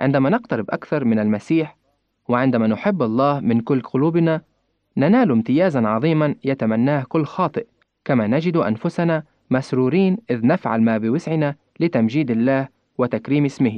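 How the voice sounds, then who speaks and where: Here is an ordinary speaking voice from a man at medium pitch, with very even loudness. He keeps a moderate pace and lively intonation. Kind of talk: scripted religious reflection.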